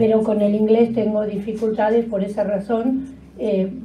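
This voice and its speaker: Speaking at a fairly quick pace, a woman of medium pitch is heard with audible room echo and noticeable background noise. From Argentina. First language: Spanish. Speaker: museum education award coordinator. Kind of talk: conference talk, partly read aloud. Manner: halting.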